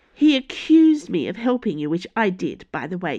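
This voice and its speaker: A female-sounding, put-on character voice moves at a moderate pace. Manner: snappish, indignant.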